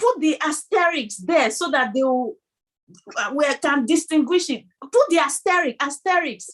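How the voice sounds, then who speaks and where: A high-pitched woman's voice with a Nigerian accent, at a moderate pace, with very wide pitch swings. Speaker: video podcast co-host. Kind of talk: casual chat.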